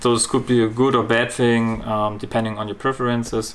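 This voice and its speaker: Over noticeable background noise, a man with a German accent speaks in a fairly low, monotone voice with flat intonation. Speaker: model car reviewer. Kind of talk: product review. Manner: halting with fillers.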